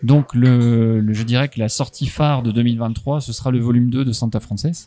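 Recorded very cleanly against a silent background, a man speaks in a dark, mellow tone with fairly even intonation. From France, Haute-Marne (Chaumont). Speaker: comics publisher. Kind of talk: interview. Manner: hesitant, many fillers and repetitions.

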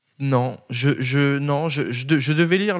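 This man's voice sits fairly high in pitch, and his intonation stays fairly even. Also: very clean recording, silent background. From France, Nancy (Lorraine). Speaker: media founder and editor-in-chief. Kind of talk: podcast interview. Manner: casual, hesitant.

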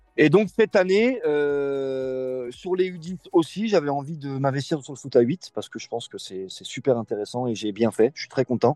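With hardly any pauses, a man with a fairly high voice and a dark, mellow tone speaks at a moderate pace, in a dry, close sound with no echo. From France, Lyon area (Bron). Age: 20s. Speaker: youth football coach. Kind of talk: interview.

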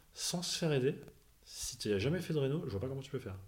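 A man's somewhat breathy voice at a very fast pace, with audible room echo. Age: 30s. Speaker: finance worker, home renovator. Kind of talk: casual interview.

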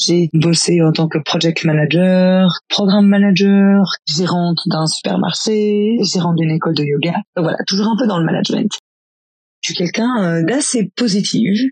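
A woman with a medium pitch and ordinary pitch variation talks fairly slowly. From Belgium, rural farm. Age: 30s. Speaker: cycling travel guide and life coach. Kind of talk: personal testimony. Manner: hesitant, many fillers.

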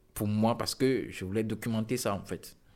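A man talks fairly slowly. The background is silent and the recording very clean. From Togo. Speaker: photographer. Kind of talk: interview. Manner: halting.

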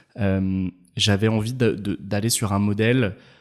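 In a very clean recording with a silent background, a man has a plain, everyday voice, fairly low in pitch, with fairly even intonation. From France, Ain department near Geneva. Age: 30s. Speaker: startup founder and CEO. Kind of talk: casual interview.

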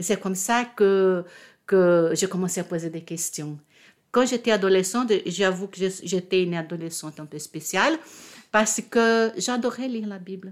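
With a Portuguese accent, the speaker goes at a fairly slow pace with ordinary pitch variation on a very clean recording with a silent background. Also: woman, medium pitch for a woman. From Brazil, Rio de Janeiro. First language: Portuguese (speaking French). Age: 60s. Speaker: retired diplomat and convert to Judaism. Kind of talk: personal testimony interview. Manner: halting, with repetitions.

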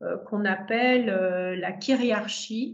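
With noticeable background noise and audible room echo, a woman speaks at a very slow pace. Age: 60s. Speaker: sex therapist and tantra teacher. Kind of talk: interview conversation. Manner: hesitant, many fillers.

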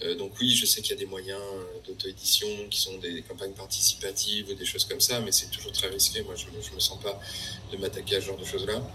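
This man's fairly quick speech is accompanied by noticeable background noise. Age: 40s. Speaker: artist. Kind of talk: interview. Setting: video call. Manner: halting.

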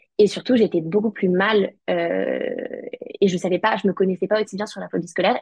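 The voice is somewhat breathy and moves at a very fast pace. Its sound is dry and close, with no echo. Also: woman. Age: 20s. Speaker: law student. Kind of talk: testimony.

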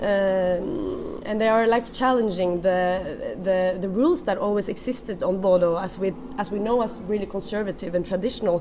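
Over noticeable background noise, a woman with a Norwegian accent speaks at medium pitch and a moderate pace with ordinary pitch variation. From Norway. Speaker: food and wine writer. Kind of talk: interview.

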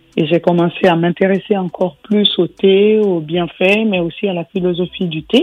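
With hardly any pauses, a woman speaks at a moderate pace in a medium pitch and fairly even intonation. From Guinea. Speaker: tea company founder. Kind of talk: interview. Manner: frequent hesitations (euh).

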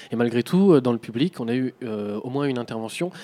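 At a fairly quick pace, an unremarkable speaking voice comes through in a dry, close sound with no echo. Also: man. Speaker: radio host. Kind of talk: radio interview show.

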